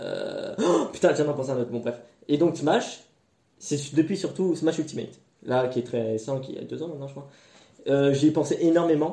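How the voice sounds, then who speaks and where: A man with a fairly high voice and a dark, mellow tone speaks at a moderate pace, leaving long, frequent pauses, his loudness swinging widely while his pitch varies in an ordinary way. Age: young. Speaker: podcast co-host. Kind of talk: casual chat.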